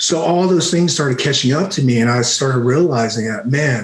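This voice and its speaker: A man with a fairly high pitch speaks at a fairly quick pace against noticeable background noise. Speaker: retired army special forces veteran, martial arts teacher. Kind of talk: podcast interview answer. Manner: soft-spoken.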